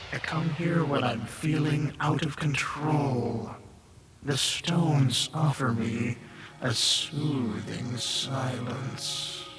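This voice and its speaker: A put-on character voice at a very slow pace over clear background noise. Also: man, medium pitch for a man. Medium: short film. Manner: cryptic, menacing.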